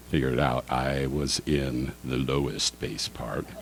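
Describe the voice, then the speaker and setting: A man with a very deep, low pitch talks in monotone, flat intonation over noticeable background noise. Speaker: political candidate. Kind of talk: candidate forum answers. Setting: public forum with audience.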